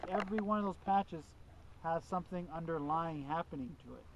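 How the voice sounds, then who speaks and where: The speech moves at a fairly quick pace. The sound is dry with no echo, with noticeable background noise. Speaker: field class instructor. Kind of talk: lecture. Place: open country. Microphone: camera far.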